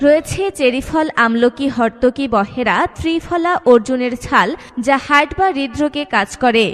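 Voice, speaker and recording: Background noise can be clearly heard. A woman speaks at a high pitch with lively intonation. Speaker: voice-over artist. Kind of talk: street promotion advertisement read.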